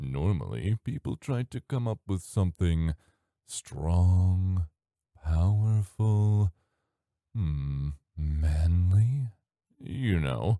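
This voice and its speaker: A man's put-on character voice, very deep and low, with lively intonation, a very slow pace and long, frequent pauses, on a very clean recording with a silent background. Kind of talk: ASMR roleplay. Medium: audio drama. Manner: teasing, seductive, drawling.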